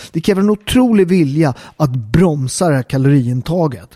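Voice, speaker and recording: Fairly high for a man, this voice has a dark, mellow tone and lively intonation, moving at a moderate pace in a dry, close sound with no echo. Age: 40s. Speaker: fitness and health podcaster. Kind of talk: monologue. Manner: casual, with frequent fillers.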